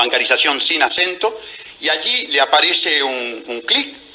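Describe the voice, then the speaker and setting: A man talks fairly slowly. Background music can be heard behind him. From Uruguay. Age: 60s. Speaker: political candidate. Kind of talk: TV interview. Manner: animated.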